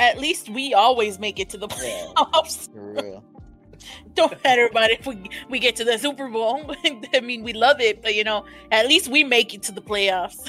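With music in the background, a woman talks at a moderate pace in an American accent, her pitch high. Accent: Mexican Texan. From Texas, near the Mexican border. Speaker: podcast co-host.

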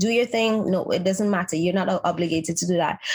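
A woman rattles along at a very fast pace, somewhat breathy. Her medium pitch shows ordinary variation. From Trinidadian family. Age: 30s. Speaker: makeup artist and content creator. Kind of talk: interview.

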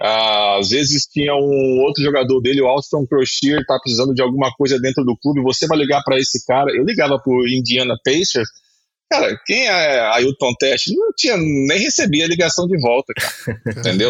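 Moving at a moderate pace, a man speaks with hardly any pauses. He has a normal speaking voice, fairly high in pitch. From Espírito Santo, Brazil. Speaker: former basketball player and sports agent. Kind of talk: casual interview.

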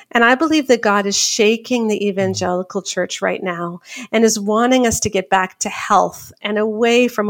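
A woman with a Canadian accent and an ordinary speaking voice, medium in pitch, with ordinary pitch variation, a moderate pace and hardly any pauses. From Canada. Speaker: author and speaker. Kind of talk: interview.

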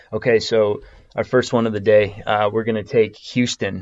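Music plays in the background. Over it, a man talks at a fairly low pitch. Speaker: sports betting podcast host. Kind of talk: casual chat. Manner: halting, many fillers.

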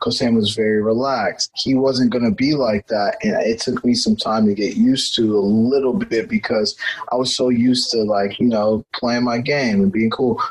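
With an American accent, a man talks at a moderate pace with hardly any pauses. His pitch is medium and his loudness very even, over noticeable background noise. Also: ordinary pitch variation. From Texas (Houston), Nigerian parents. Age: 20s. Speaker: former college soccer player, production worker. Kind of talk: interview.

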